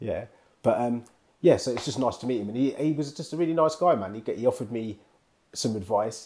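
A man with a British accent talks at a fairly quick pace. His medium pitch carries a dark, mellow tone and ordinary pitch variation. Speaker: podcast co-host. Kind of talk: casual banter. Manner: laid back.

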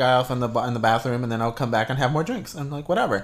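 The clip has an unremarkable speaking voice with ordinary pitch variation. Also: man. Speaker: podcast co-host. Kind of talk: casual chat.

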